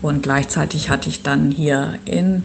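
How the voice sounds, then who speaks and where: Over noticeable background noise, a woman with a very deep, low pitch talks at a moderate pace while her pitch swings very widely. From northern Germany (Schleswig-Holstein). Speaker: urban planner. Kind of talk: interview. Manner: hesitant with frequent fillers.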